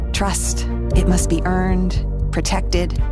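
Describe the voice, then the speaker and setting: A woman's fairly slow voice, dry and echo-free, with clear music in the background. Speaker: voice actor. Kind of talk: documentary narration. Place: studio. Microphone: studio mic.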